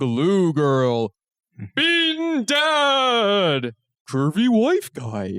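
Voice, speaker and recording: A man puts on a character voice, high-pitched with very wide pitch swings, at a very slow pace. The sound is dry and close, without echo. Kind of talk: announcer delivery.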